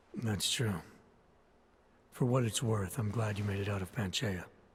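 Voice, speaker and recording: A man puts on a raspy character voice with a fairly low pitch. He talks at a moderate pace with fairly even intonation. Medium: video game. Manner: terse, gravelly, understated.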